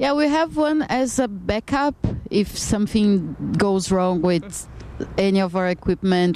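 With noticeable background noise, a woman with a Brazilian accent speaks at a moderate pace with lively intonation. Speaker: band member, musician. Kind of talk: casual interview chat.

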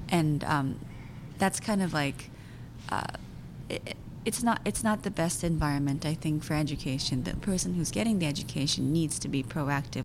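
Speaking in a Japanese accent, a woman with a very deep, low pitch uses lively intonation at a moderate pace, with long, frequent pauses. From Japan (Tokyo), also raised in US and Belgium. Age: 30s. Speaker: actor and filmmaker. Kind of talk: interview.

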